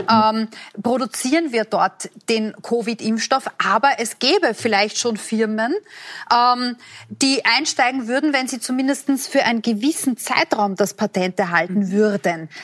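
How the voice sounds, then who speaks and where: A woman's unremarkable speaking voice, fairly high in pitch, at a moderate pace with ordinary pitch variation, in a dry, close sound with no echo. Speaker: TV host, moderator. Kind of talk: moderating a TV forum.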